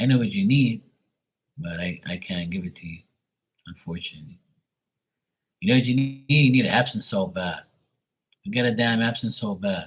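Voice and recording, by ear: A man talks at a moderate pace in a low pitch. His voice carries a slightly husky edge and ordinary pitch variation.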